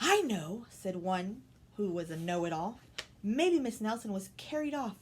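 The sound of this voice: The text is read aloud. It comes in an unforced reading voice.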